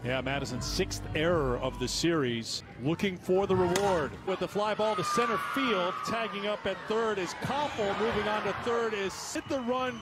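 A man speaks at a high pitch with very wide pitch swings, at a fairly slow pace with hardly any pauses. Noticeable background noise is present. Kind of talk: live commentary.

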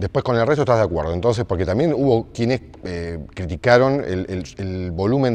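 In an ordinary speaking voice, a man moves at a fairly quick pace and uses lively intonation. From Argentina. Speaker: journalist interviewer. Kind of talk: interview. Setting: indoor basketball stadium. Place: gym. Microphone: lapel.

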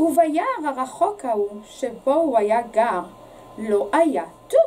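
A woman speaks in an animated, playful tone over light background noise. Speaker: teacher reading to children. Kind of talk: bedtime story read aloud to children, in a gentle, warm storyteller's voice. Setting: video recording for a school's summer reading series. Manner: animated, expressive, with playful repetition and teasing pauses. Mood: expressive, animated storytelling. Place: studio.

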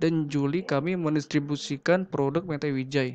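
A man with a fairly high pitch speaks with fairly even intonation. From Indonesia. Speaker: university student presenting a business idea; presenter. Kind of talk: business pitch presentation. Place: home room. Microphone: webcam.

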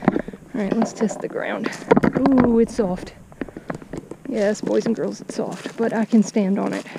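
A woman at a very slow pace, with ordinary pitch variation, dry sound with no echo and noticeable background noise. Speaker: fishing vlogger. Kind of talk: casual vlog chat. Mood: amused, cautious. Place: waterside. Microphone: phone near.

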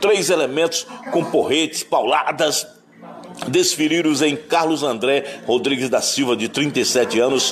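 Against noticeable background noise, a man with a fairly high voice speaks at a fairly slow pace and very even loudness. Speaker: radio reporter. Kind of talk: news report.

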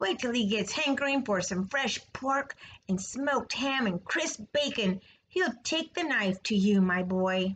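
In a put-on character voice, a woman speaks fairly slowly at a fairly high pitch, her tone fairly bright with a slightly husky edge and lively intonation.

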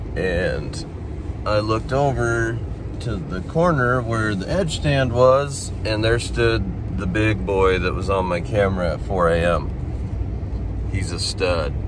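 With noticeable background noise but a dry sound and no echo, a man speaks very slowly in a very deep, low voice that makes very wide pitch swings. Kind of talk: casual vlog chat. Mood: disappointed, reflective. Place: car. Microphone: phone near.

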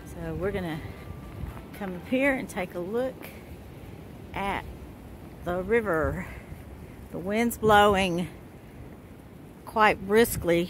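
Spoken at a very slow pace with long, frequent pauses, this voice has ordinary pitch variation and big swings in loudness, recorded with a dry sound, no echo and light background noise. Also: woman. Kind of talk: casual vlog chat. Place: waterside. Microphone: phone near.

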